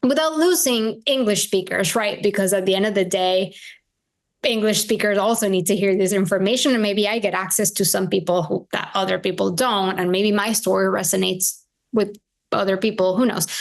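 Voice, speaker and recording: A woman's fairly quick speech in a Spanish accent, medium in pitch with ordinary pitch variation and very even loudness, against a quiet background. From Venezuela. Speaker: integrative health practitioner. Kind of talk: podcast interview.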